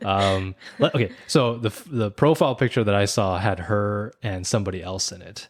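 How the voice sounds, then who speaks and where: Noticeable background noise sits behind a man with an American accent. He speaks at a moderate pace with a fairly low pitch. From US, Korean-American. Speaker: podcast co-host. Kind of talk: casual chat. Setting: podcast recording. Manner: halting, many repeated words.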